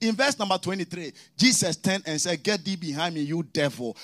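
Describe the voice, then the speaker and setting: A man speaks in a raised, projected voice with an animated, bright, sharp tone. He keeps a moderate pace. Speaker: preacher. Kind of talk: sermon with prayer and congregation call-and-response. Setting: church service with live congregation and online audience. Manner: animated, exhorting, rising preaching cadence with commands to the congregation; storytelling with mimicked dialogue and humor.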